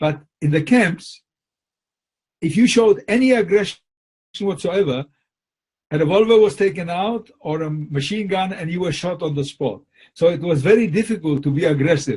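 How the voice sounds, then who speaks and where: With lively intonation and long, frequent pauses, a man speaks at a moderate pace in a high pitch. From Poland. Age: 80s+. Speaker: Holocaust survivor. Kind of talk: interview answer.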